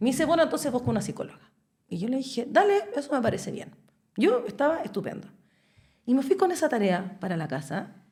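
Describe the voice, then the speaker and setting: A woman with a Chilean accent speaks at a very fast pace in a high pitch with very wide swings and a dark, mellow tone, stopping for long, frequent pauses. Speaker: podcast guest. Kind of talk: casual chat.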